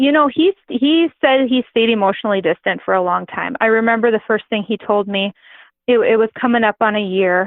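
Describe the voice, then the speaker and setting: A woman speaks with an Upper Midwest accent. Her pitch is medium, with ordinary variation. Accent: Upper Midwest American. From North Dakota. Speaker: grain farmer and adoptive mother. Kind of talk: interview answer.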